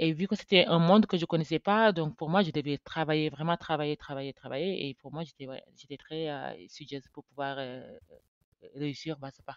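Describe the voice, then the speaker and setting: The talking moves at a moderate speed. Its pitch variation is ordinary. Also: woman, very deep, low pitch for a woman. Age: 30s. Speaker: chartered accountant, firm founder. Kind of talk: podcast interview. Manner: hesitant, many fillers.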